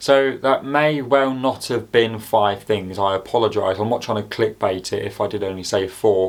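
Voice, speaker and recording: In a very clean recording with a silent background, a man with an English accent talks at a fairly low pitch and a moderate pace, with ordinary pitch variation and hardly any pauses. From England. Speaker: YouTuber. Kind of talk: casual commentary to camera. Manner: hesitant, many fillers.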